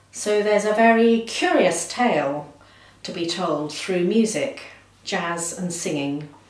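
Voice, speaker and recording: Very slow speech with audible room echo. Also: woman. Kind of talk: interview answer. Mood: cheerful, enthusiastic.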